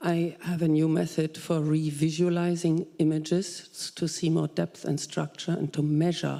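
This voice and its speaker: A woman with a German accent speaks at a fairly slow pace. Her pitch is very deep and low, and her tone is dark and mellow. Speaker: audience member, software scientist. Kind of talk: audience question.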